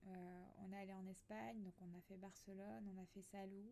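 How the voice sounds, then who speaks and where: This voice has a dark, mellow tone and ordinary pitch variation. The pace is moderate. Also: woman. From Alsace, France. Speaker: podcaster. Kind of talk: personal monologue. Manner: soft-spoken, calm; hesitant, many fillers.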